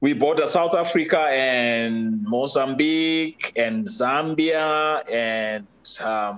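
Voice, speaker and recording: A man speaks with a Zimbabwean accent. His pitch varies in an ordinary way. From Zimbabwe, rural. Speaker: podcast guest, father. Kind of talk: interview conversation. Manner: halting, many fillers.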